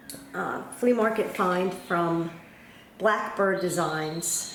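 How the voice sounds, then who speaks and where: A woman talks with lively intonation and a slight New York accent. Noticeable background noise and audible room echo are present. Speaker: cross stitch video blogger. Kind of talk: casual chat. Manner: casual, hesitant with fillers.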